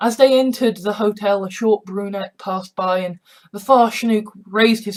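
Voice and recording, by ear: The background is free of noise. The reading aloud is in a natural voice, with ordinary pitch variation.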